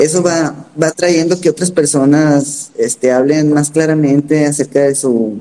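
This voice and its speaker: This man speaks at a fairly slow pace with hardly any pauses, his intonation fairly even and his loudness very even. His tone is dark and mellow, and his pitch is fairly high for a man. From Sonora, Mexico. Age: 40s. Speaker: LGBT activist. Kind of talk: interview.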